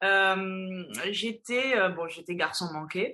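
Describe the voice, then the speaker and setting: Ordinary pitch variation in a woman's bright, sharp tone. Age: 20s. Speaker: fitness and mental coach. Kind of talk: interview.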